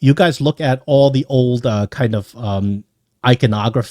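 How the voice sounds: Quiet background behind a natural reading voice with ordinary pitch variation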